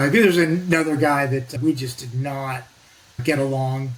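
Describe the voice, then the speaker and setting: The speaker has an American accent and ordinary pitch variation. Noticeable background noise is present. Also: man. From US Pacific Northwest, northwest Oregon. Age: 60s. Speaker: navy veteran and nuclear energy advocate. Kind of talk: casual interview. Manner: talkative, loose chatty delivery.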